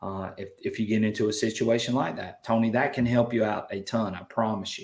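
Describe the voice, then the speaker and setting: Someone speaks with a Southern US accent on a very clean recording with a silent background. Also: man. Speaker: metal detecting channel host. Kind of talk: live stream chat. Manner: animated.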